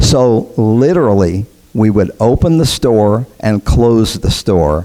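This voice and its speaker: A man speaks at a very slow pace. Noticeable background noise is present. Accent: American. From US South, Memphis, Tennessee. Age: 70s. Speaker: arcade operator. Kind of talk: conference talk. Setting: stage with audience.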